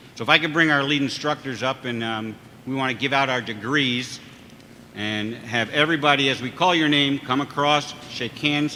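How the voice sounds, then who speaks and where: Fairly even intonation and a moderate pace from a man, fairly high-pitched, in an unremarkable speaking voice. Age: 60s. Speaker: fire service chief and instructor. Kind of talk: ceremony speech.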